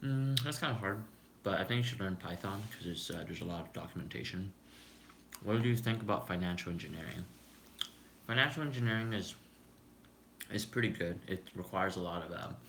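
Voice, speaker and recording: A man talks at a fairly quick pace, with long, frequent pauses and ordinary pitch variation. Audible room echo surrounds his voice. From Canada. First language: Cantonese. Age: 20s. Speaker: YouTuber, software engineer. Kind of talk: casual live stream chat. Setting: live stream while eating lunch. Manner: relaxed, chill.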